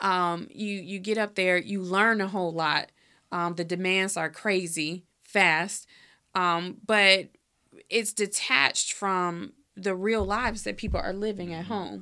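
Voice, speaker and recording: A woman with an American accent speaks at a fairly slow pace in a normal speaking voice. The recording is very clean, with a silent background. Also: medium pitch for a woman. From Chicago, south side. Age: young. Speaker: local party leader. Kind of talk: interview. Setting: studio.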